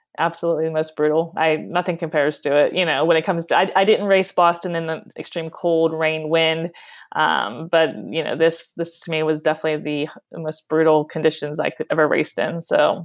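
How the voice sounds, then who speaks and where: Fairly quick and fairly even in intonation, an unremarkable speaking voice comes with an American accent. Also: woman, fairly low pitch for a woman. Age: 40s. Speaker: professional marathon runner. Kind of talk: interview. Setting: phone call.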